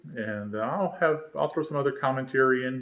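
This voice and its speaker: A man with a Southern US accent at a moderate pace, with ordinary pitch variation. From North Carolina (Charlotte), earlier St. Louis. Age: 50s. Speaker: homebuilt aircraft builder, video series host. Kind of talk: casual vlog introduction. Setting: home workshop. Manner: halting, many fillers and repetitions.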